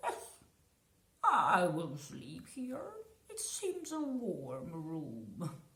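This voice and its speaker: A put-on character voice carries this clip. Its pitch is middle and its pace very slow. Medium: read story. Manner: calm.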